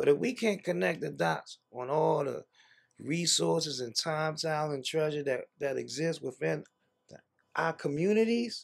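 The pace is moderate. Behind it, the background stays quiet. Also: man. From Washington DC. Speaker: social entrepreneur and reparations commission member; guest. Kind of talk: interview. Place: home room.

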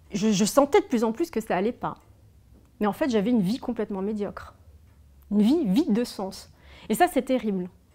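Against a quiet background, a woman with a dark, mellow tone and fairly high pitch speaks at a moderate pace with lively intonation and long, frequent pauses. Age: 30s. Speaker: former fashion designer and author; interviewee. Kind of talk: personal testimony interview. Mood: reflective, candid, emotional. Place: home room.

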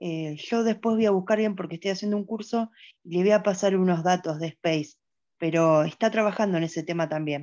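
A woman with an unremarkable speaking voice talks at a fairly quick pace at medium pitch, with ordinary pitch variation against a quiet background. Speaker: audience participant. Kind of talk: Q&A comment. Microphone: video call.

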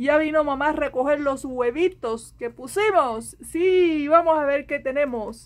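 A woman talks at a fairly slow pace. Her pitch is high, with ordinary variation. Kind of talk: casual vlog chat. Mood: cheerful, playful. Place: garden. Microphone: phone near.

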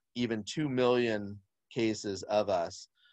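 A man's fairly even intonation against a quiet background. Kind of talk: presentation commentary on slides. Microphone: video call.

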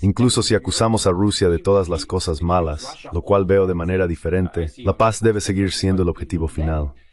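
A man with a German accent and a very deep, low pitch talks at a fairly quick pace with hardly any pauses. His pitch varies in an ordinary way, and the background is quiet. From East Germany. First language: German (speaking Spanish). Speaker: diplomat and politician. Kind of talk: interview.

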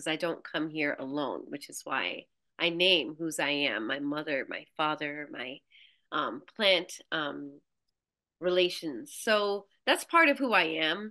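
A woman with an American accent speaks at a fairly slow pace in a very deep, low pitch with ordinary pitch variation and a bright, sharp tone. Her loudness swings widely against a quiet background. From Brooklyn, New York. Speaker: farmer and somatic practitioner. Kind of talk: casual interview conversation. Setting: video call. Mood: reflective, heartfelt. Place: home room. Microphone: video call.

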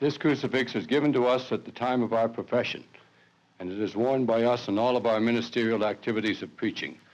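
His pitch moves in an ordinary way. This man talks fairly quickly. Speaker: priest. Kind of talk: reading a reflection, then interview answers; interview answer. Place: home room. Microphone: old recording.

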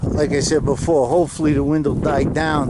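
A man in a dry sound with no echo, over loud background noise. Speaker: ranch owner vlogger. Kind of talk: casual vlog chat. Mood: relaxed, appreciative. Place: open country. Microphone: phone near.

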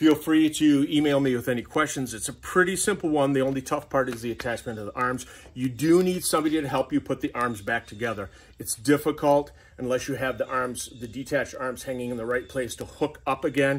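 A man talks at a fairly quick pace. His pitch varies in an ordinary way. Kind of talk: casual vlog chat. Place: garage. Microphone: phone near.

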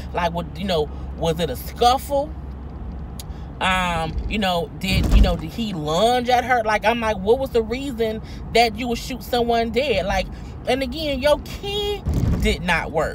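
The dry sound has no echo, the speech moves at a fairly slow pace, and noticeable background noise sits behind it. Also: woman. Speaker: vlogger. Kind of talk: casual vlog commentary on a news story. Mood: indignant, incredulous. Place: car. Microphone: phone near.

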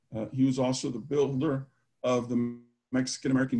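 A man's voice at a moderate pace with music in the background. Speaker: university professor, event host. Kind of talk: formal introduction. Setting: video call. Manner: formal. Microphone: webcam.

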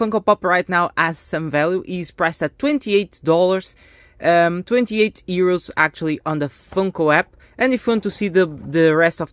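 Against a quiet background, a woman speaks fairly slowly at a fairly low pitch with ordinary pitch variation. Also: dry sound with no echo. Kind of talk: casual unboxing commentary. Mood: enthusiastic. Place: home room. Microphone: phone near.

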